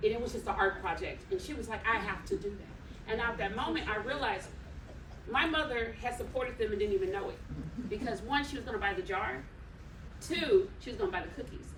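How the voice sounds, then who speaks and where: A woman with a slight Texan accent speaks fairly quickly at a fairly high pitch with lively intonation. Noticeable background noise and audible room echo fill the recording. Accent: slight country Texan twang. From California city. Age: 40s. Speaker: wedding officiant and trainer. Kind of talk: workshop presentation.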